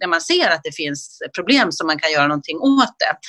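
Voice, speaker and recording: A woman's bright, sharp tone at a fairly quick pace, with very wide pitch swings. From Sweden, Dalarna. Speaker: regional health politician. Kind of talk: interview. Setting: remote recording from home.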